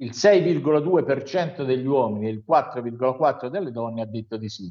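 Lively intonation rises and falls across very slow speech. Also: man. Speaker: news commentator. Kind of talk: news review.

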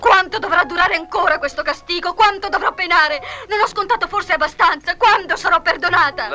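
Putting on a character voice, a woman goes shrill at an extremely high pitch, talking at a fairly quick pace over light background noise. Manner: agitated, near shouting, pleading.

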